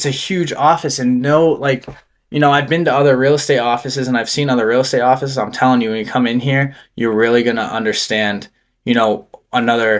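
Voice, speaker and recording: Here is a man with a plain, everyday voice, medium in pitch and fairly quick, with an American accent. His intonation is fairly even, and the recording is very clean with a silent background. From Massachusetts, Gardner (central/western Mass). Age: 20s. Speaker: real estate agent. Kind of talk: casual podcast interview.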